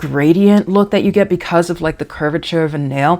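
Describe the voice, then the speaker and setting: This is a woman with a fairly low pitch. The pitch varies in an ordinary way. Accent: Southern US. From DC / Maryland area, US. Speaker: nail polish youtuber. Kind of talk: casual product review. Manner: hesitant, many fillers and repetitions.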